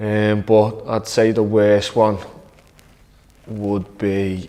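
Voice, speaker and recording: A man with an English accent, fairly low pitch, very slow pace and monotone, flat intonation. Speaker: professional footballer. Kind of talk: interview to camera. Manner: loud.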